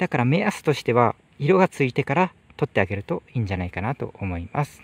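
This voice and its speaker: With vocal fry and very wide pitch swings, a man speaks in a dry sound with no echo. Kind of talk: tutorial. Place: farm machine. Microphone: phone near.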